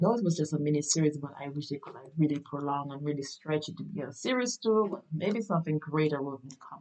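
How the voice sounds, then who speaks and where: A woman with a very deep, low voice talks at a very fast pace with hardly any pauses. Her intonation is lively and her tone animated. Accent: Caribbean. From Caribbean. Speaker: podcast host and actress. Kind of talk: casual podcast monologue. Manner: animated, many fillers.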